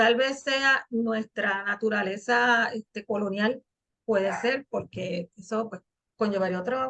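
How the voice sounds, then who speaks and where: A woman talks at a very slow pace in a fairly high pitch with a bright, sharp tone and fairly even intonation. The sound is dry and close, with no echo. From Puerto Rico. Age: 60s. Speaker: interviewer, channel host. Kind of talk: interview conversation.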